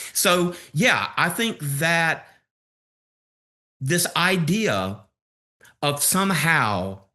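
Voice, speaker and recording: With a Southern US accent, a man speaks in a bright, sharp tone at a fairly high pitch, swinging very widely up and down. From US South, Alabama. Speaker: history professor. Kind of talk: podcast interview.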